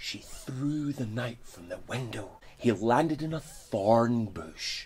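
Ordinary pitch variation in plain reading aloud

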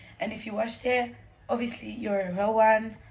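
A woman with a fairly high pitch speaks at a fairly quick pace. The recording has audible room echo and noticeable background noise. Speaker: vlogger. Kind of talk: casual vlog to camera.

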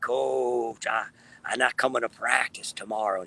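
A man puts on a raspy character voice at a medium pitch. He speaks fairly slowly. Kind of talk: interview answer.

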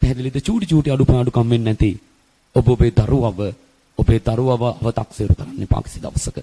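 A man's somewhat breathy voice with a dark, mellow tone, ordinary pitch variation and a fairly slow pace. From Sri Lanka. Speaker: A/L accounting tutor; L accounting tutor. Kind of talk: motivational talk to parents. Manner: repetitive, earnest. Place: classroom. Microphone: handheld.

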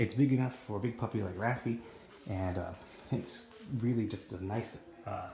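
A man at a moderate pace with ordinary pitch variation, audible room echo and light background noise. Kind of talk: property tour commentary. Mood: enthusiastic. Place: home room. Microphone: phone near.

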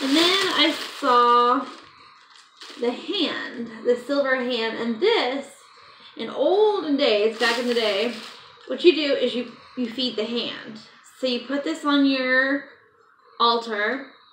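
A woman's high-pitched voice at a very slow pace, with long, frequent pauses, ordinary pitch variation, audible room echo and light background noise. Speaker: vlogger. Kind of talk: casual vlog chat. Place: home room. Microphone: phone near.

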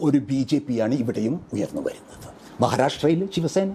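A man with a dark, mellow tone speaks at a fairly high pitch with lively intonation. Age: 70s. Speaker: veteran journalist. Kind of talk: political talk to an audience.

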